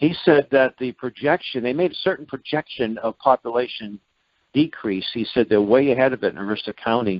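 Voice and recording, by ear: A man at a medium pitch, fairly quick, with ordinary pitch variation and a dry, close sound with no echo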